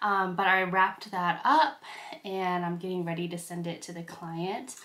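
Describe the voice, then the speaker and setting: A woman's voice comes across with a bright, sharp tone. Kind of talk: casual vlog chat. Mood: cheerful, relaxed. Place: home room.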